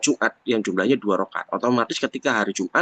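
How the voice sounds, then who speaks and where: A medium-pitched male voice, dry and close with no echo. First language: Javanese (speaking Indonesian). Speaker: Islamic religious teacher. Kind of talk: religious text lecture. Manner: halting, with self-corrections.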